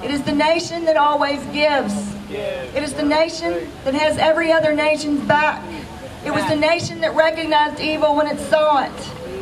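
Crowd noise fills the background as a woman talks in a high pitch. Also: fairly even intonation, moderate pace. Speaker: rally speaker. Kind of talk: rally speech. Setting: outdoor protest rally. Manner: emphatic, rousing, declamatory. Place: open country. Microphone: pa.

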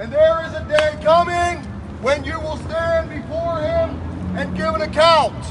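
Noticeable noise fills the background. Over it, a man talks very slowly. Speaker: street preacher. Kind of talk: open-air street preaching. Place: street. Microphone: handheld.

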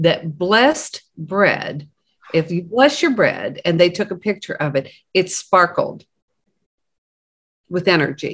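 Over a quiet background, a woman talks at a very slow pace with lively intonation and long, frequent pauses. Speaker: co-host. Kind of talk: casual conversation. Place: home room. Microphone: video call.

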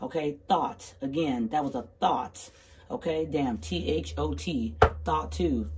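This is a woman with lively intonation. Light background noise sits behind her. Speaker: tarot card reader. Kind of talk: casual tarot reading. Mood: sassy, emphatic. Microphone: phone near.

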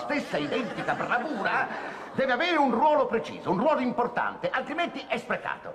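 A man rattles off his words at a very fast pace, with noticeable noise behind him. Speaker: actor playing a TV director. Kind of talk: comedy sketch dialogue. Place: studio.

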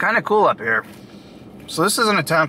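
A man speaks at a fairly quick pace, the sound dry with no echo and light background noise behind him. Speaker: food reviewer. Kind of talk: casual vlog chat. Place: car. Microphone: phone near.

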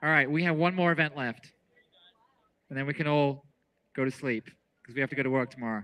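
A man speaks at a very fast pace. He leaves long, frequent pauses. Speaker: track meet announcer. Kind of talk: live race commentary. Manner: animated, excitable.

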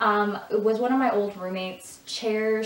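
A woman speaks with a Michigan accent and fairly even intonation. Room echo is audible. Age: 20s. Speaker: lifestyle YouTuber. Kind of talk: casual talk to camera. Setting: echoey room. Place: home room.

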